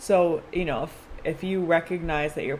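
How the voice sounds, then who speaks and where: A woman talks at a fairly quick pace in a fairly low pitch. Noticeable background noise runs beneath her. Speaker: tarot reader. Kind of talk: tarot reading. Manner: fast; casual.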